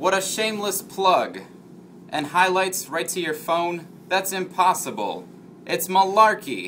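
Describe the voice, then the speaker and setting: In a put-on character voice, a man sounds gruff at a high pitch with fairly even intonation. He speaks at a fairly slow pace with clear background noise. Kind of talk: 1940s noir film acting. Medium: comedy sketch. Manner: gruff, skeptical, old-timey slang.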